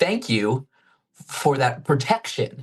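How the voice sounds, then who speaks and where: Speaking at a very slow pace, the man sounds somewhat breathy. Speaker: actor and stuttering advocate. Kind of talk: interview answer. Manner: stutters.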